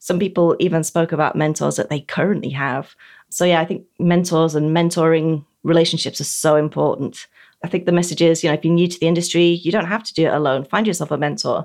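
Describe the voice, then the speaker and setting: Talking at a very fast pace, a woman with a British accent keeps a fairly even intonation. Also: very clean recording, silent background. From Britain. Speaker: technology journalist. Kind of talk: interview.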